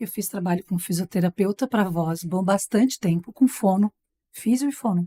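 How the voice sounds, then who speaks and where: The tone is dark and mellow, somewhat breathy, with ordinary pitch variation at a moderate pace. The sound is dry and close, with no echo. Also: woman. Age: 40s. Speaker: TV presenter and master of ceremonies. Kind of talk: casual chat.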